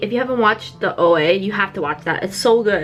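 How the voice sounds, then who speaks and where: Against noticeable background noise, a woman with medium pitch speaks with lively intonation. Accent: American. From New York City. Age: 20s. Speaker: beauty vlogger. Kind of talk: casual get-ready-with-me vlog.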